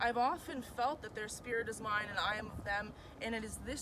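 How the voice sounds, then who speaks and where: A woman talks at a fairly quick pace with a fairly high pitch and ordinary pitch variation. Noticeable background noise runs behind her. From Mi'kmaq, New Brunswick, Canada. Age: 20s. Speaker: university student. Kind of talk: artist statement read to camera.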